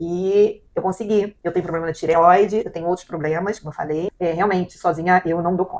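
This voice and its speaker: Over noticeable background noise, a woman speaks at a fairly quick pace in a fairly low, monotone, flat voice with big swings in loudness. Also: hardly any pauses. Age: 60s. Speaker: client. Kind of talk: testimony. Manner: halting.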